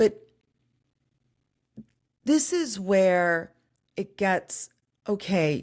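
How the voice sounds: On a very clean recording with a silent background, a woman speaks at a very slow pace and medium pitch, her slightly mellow tone carrying lively intonation.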